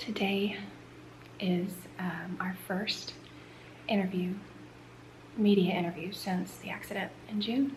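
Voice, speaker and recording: A woman speaks at a fairly slow pace and a medium pitch, with fairly even intonation and long, frequent pauses. Audible room echo and noticeable background noise are present. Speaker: family vlogger. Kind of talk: casual vlog talk. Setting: at home.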